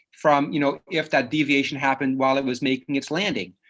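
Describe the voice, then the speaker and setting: A man talks with a slight Dutch accent. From Netherlands (Dutch-speaking), moved to Canada at nine. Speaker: psychologist. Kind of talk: lecture. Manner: casual, with many fillers and restarts.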